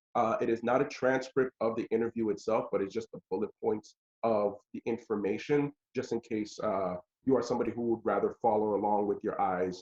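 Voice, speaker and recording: A man's medium-pitched voice at a fairly quick pace, dry and close with no echo. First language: not English. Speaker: teaching artist. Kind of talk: workshop instruction. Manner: halting, many fillers.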